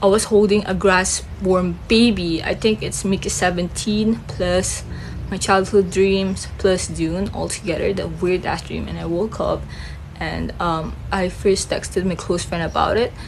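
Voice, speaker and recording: In a Filipino accent, a woman talks at a fairly slow pace amid noticeable background noise and audible room echo. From Philippines. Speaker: film reviewer, vlogger. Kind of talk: casual chat. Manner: halting.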